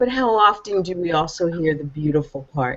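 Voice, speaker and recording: A woman with a fairly low pitch talks in an ordinary speaking voice. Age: 60s. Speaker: legacy coach for business owners. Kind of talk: panel discussion.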